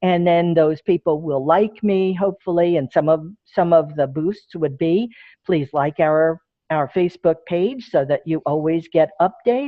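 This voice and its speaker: A woman talks at a fairly slow pace with a fairly low pitch. She has a plain, everyday voice with ordinary pitch variation. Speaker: presenter on social media for groups. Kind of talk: Q&A; webinar presentation.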